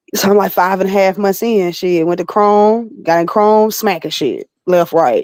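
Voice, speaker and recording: A woman with a slight Southern accent talks at a medium pitch with ordinary pitch variation. Her loudness stays very even, and she hardly pauses. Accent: slight southern twang. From Alabama, US South. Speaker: battle rapper and recording artist. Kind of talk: casual interview.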